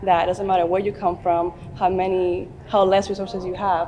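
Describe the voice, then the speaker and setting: In a Dominican accent, a woman with a fairly low pitch speaks quickly in a flat monotone while noticeable background noise plays behind her. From Dominican Republic. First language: Spanish. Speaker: beauty pageant contestant. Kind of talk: interview. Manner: conversational with filler words.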